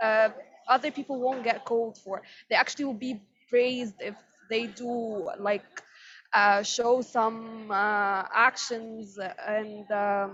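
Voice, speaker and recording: A woman's fairly high voice at a very slow pace, with long, frequent pauses, a non-native accent and fairly even intonation. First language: not English. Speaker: tech industry panelist. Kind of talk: panel discussion. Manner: halting, many fillers.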